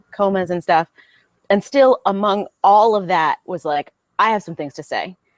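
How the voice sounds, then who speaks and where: With an American accent, a woman uses a normal speaking voice at medium pitch, with ordinary pitch variation and big swings in loudness, and the sound is dry and close with no echo. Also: moderate pace. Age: 30s. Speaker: business owner. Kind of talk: podcast interview. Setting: podcast.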